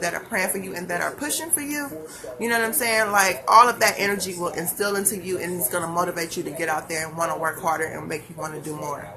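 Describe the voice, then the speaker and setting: A woman's fairly low pitch and ordinary pitch variation at a very fast pace, with noticeable background noise. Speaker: hair business owner and motivational vlogger. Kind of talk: motivational live stream talk. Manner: animated.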